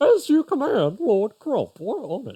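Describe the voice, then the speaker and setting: A put-on character voice with a high pitch jumps through very wide pitch swings. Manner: silly, goofy, obedient.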